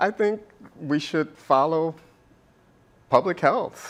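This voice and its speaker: Lively intonation colors this man's fairly slow delivery in an ordinary speaking voice. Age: 60s. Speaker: history professor. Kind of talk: panel debate.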